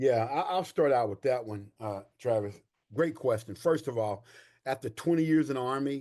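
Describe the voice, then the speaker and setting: Over a quiet background, a man with an East Texas accent speaks at a moderate pace and medium pitch, his tone dark and mellow with ordinary pitch variation. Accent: East Texas Southern US. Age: 60s. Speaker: army veteran and veterans coach. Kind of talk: podcast interview. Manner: animated.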